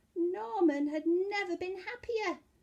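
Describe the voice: At an extremely high pitch with ordinary pitch variation, a woman speaks in a dark, mellow tone. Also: fairly slow pace.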